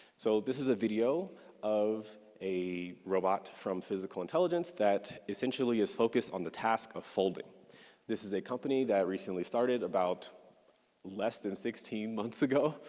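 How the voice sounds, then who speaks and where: The pace is moderate throughout. It's an ordinary speaking voice, with ordinary pitch variation. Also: man, fairly low pitch for a man. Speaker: neuroscientist giving conference talk. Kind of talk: lecture.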